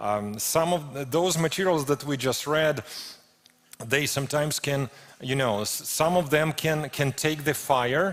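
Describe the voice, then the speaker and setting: Against noticeable background noise, a man with a fairly high pitch speaks at a fairly slow pace with ordinary pitch variation. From Ukraine. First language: Ukrainian or Russian. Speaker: preacher. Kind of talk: sermon. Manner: halting, with frequent repetitions and fillers.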